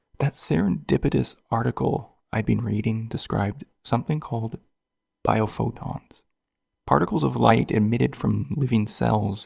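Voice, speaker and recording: Here a man speaks at a fairly slow pace with a fairly low pitch. His voice has vocal fry and very wide pitch swings. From western Canada, Vancouver Island. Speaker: podcast host. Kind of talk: reflective podcast narration.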